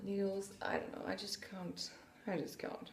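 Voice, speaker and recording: Speaking with a French accent at a medium pitch, a woman is heard through audible room echo and noticeable background noise. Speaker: podcaster, knitter and sewist. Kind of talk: casual podcast monologue. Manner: hesitant, many fillers.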